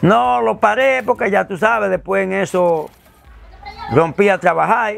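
A man's high voice with very wide pitch swings at a fairly slow pace, in a Dominican accent, with a dry, echo-free sound and light background noise. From Dominican Republic. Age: 70s. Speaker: father of a prisoner; interviewee. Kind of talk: interview. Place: home room. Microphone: lapel.

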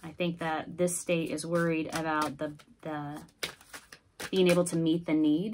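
Over light background noise, a woman with an American accent speaks fairly slowly in a fairly low, flat monotone. She leaves long, frequent pauses. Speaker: tarot reader. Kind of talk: tarot reading. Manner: casual. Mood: calm, slightly concerned. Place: home room. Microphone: phone near.

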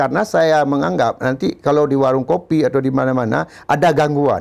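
Here a man speaks at a moderate pace. Behind him the background stays quiet. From Aceh, Indonesia. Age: 50s. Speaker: former football club manager; guest. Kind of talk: interview. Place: studio. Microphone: lapel.

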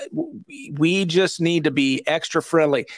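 A man's fairly bright tone with ordinary pitch variation.

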